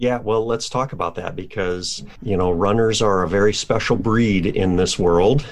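A man's fairly low voice at a moderate pace, with hardly any pauses, ordinary pitch variation and noticeable background noise. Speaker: podcast host and coach. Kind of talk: interview, conversational.

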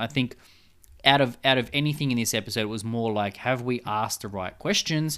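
A man talking at a very fast pace with ordinary pitch variation. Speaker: podcast co-host, scientist and writer. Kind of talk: casual chat.

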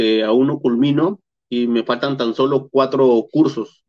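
Here a man is speaking. His pace is fairly slow. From Peru, Piura (northern coast). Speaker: traveler and YouTuber. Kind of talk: interview.

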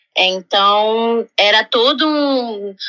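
Her voice is bright and sharp, with a fairly high pitch for a woman. The intonation stays fairly even, and the sound is dry and close with no echo. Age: 30s. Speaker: hotel guest relations worker. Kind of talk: interview.

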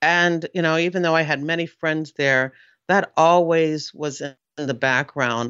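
With an American accent, a woman speaks at a moderate pace. Her pitch is very deep and low. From US military family, raised partly in Germany and England. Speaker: retired FBI agent and crime author. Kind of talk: interview. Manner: halting.

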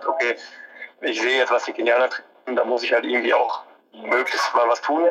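A man speaks at a very fast pace, and noticeable background noise runs beneath him. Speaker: professional marathon runner. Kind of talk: interview. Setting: phone call. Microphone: phone on speaker, connection-dependent quality.

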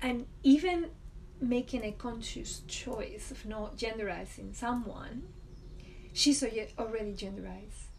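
A woman speaks in a Spanish accent. Noticeable background noise runs behind her. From Spain, Valladolid. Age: 40s. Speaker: podcast guest sharing her life story. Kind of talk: personal testimony. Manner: laughs often.

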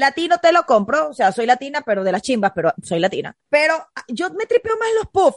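A woman with a Venezuelan accent talks at a fairly quick pace in a high pitch with very wide pitch swings, in a dry, close sound with no echo. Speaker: podcast co-host. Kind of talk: casual chat.

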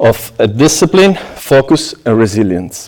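A man is speaking. He talks with an Italian accent. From southern Italy, Apulia. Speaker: pastry chef. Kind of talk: prepared talk to an audience. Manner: halting, with frequent fillers.

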